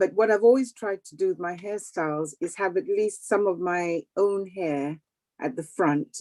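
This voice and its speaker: A woman talks in a normal speaking voice at a medium pitch. Her pitch varies in an ordinary way. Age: 60s. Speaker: audience member asking a question. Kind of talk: casual Q&A on video call. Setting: video call.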